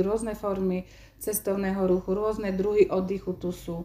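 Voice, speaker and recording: A woman speaks with a dark, mellow tone at medium pitch. Her pace is moderate and her intonation fairly even. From eastern Slovakia, Stará Ľubovňa district. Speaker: secondary school teacher. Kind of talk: interview.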